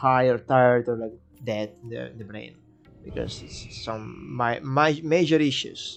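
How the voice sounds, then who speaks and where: Over music in the background, a man with a Spanish accent speaks at a medium pitch with fairly even intonation. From Catalonia, Spain (Barcelona). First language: Spanish/Catalan. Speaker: gaming streamer. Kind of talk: live stream game guide. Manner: casual, hesitant with fillers.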